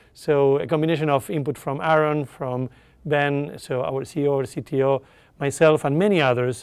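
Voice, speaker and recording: He speaks with an Argentine accent. His pitch is fairly high for a man, with ordinary variation. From Argentina. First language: Spanish. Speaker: tech company executive. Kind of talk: interview.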